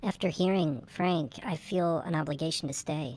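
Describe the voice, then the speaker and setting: Using a put-on character voice, a woman speaks at a moderate pace, raspy and fairly low in pitch. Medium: comedy sketch.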